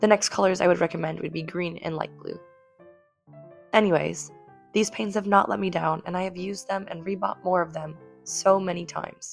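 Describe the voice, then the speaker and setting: With music in the background, a woman talks at a fairly quick pace. Her pitch is fairly low and her intonation fairly even. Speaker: artist. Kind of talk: casual talk to camera.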